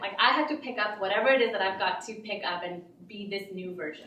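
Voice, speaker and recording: Speaking at a fairly quick pace with an American accent and ordinary pitch variation, a woman is heard through noticeable background noise and audible room echo. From Pakistan, then Texas and Connecticut. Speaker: open mic storyteller. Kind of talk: storytelling performance. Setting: stage with audience. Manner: casual, with many fillers.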